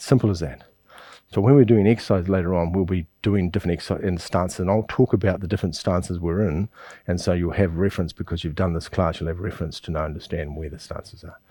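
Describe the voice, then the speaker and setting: Speaking at a very fast pace with a New Zealand accent, a man uses a very deep, low pitch, ordinary pitch variation and a dark, mellow tone, his loudness swinging widely on a very clean recording with a silent background. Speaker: qigong teacher. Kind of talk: instructional class.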